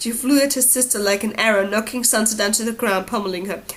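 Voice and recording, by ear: Talking fast, a woman speaks at a fairly high pitch. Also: ordinary pitch variation.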